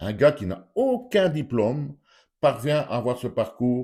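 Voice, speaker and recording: The background is completely silent on this very clean recording of a man whose tone is dark and mellow. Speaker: YouTuber commentator. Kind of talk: opinion vlog monologue. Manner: animated, rhetorical questioning.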